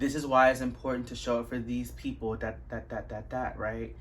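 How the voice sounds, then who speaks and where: A fairly quick female voice, audible room echo around it. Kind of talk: workshop talk. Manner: casual, filler-heavy.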